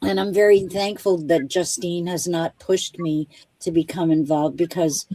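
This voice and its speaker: A woman's fairly low, dark and mellow voice at a fairly slow pace, with ordinary pitch variation and a dry, close sound free of echo. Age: 70s. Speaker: baseball umpire. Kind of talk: interview. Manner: halting.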